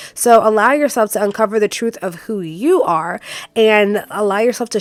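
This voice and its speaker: A woman's animated voice at medium pitch, on a very clean recording with a silent background. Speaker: tarot card reader. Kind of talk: pick-a-card tarot reading. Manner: fast.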